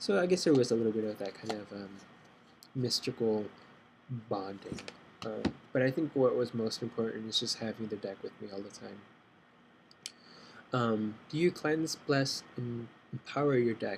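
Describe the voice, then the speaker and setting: Soft-spoken at a medium pitch, a man moves at a moderate pace with ordinary pitch variation, long, frequent pauses and big swings in loudness. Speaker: tarot beginner. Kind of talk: casual talk to camera.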